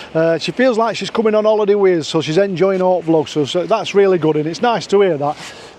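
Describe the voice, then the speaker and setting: Talking at a very fast pace with hardly any pauses, a man in a Yorkshire accent has a high pitch and ordinary pitch variation. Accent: broad Yorkshire. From Yorkshire, northern England. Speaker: vlogger. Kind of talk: casual vlog chat, reading viewer comments. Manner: halting, with fillers and restarts.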